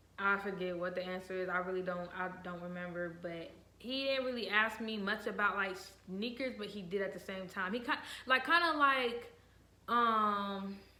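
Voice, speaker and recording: Against noticeable background noise, a woman with an American accent talks at a moderate pace with ordinary pitch variation. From Virginia and Ohio. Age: young. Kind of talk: casual talk to camera.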